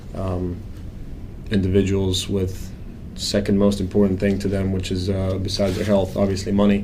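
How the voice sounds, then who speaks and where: In a Croatian accent, a man speaks at a fairly quick pace with a very deep, low pitch and monotone, flat intonation, with audible room echo. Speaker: financial planner. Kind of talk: interview.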